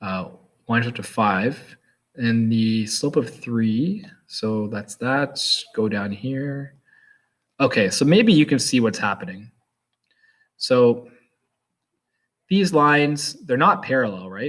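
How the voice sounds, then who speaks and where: Delivery is very slow, broken by long, frequent pauses. The intonation stays lively. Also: man, medium pitch for a man. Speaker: math teacher. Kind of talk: tutorial.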